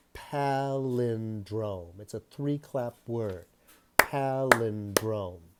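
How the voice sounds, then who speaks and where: A man speaks at a very slow pace with ordinary pitch variation. Noticeable background noise can be heard. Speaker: teacher. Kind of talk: lesson for children. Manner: slow, spelling out sounds.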